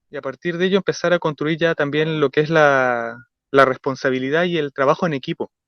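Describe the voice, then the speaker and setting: A man's fairly high pitch with fairly even intonation at a fairly quick pace. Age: young. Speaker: radio panelist. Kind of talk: radio discussion. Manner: halting, many fillers and self-corrections.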